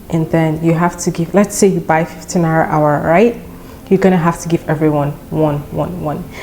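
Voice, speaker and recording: Against noticeable background noise, a woman with a Nigerian accent speaks at a moderate pace in a fairly low pitch with fairly even intonation. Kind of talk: casual storytime talk to camera.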